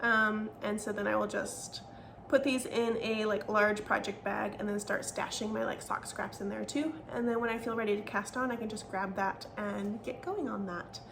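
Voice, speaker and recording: With noticeable background noise and audible room echo, a woman speaks at a moderate pace and a fairly high pitch, her intonation fairly even and hardly any pauses. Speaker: knitting podcaster. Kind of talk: casual chat.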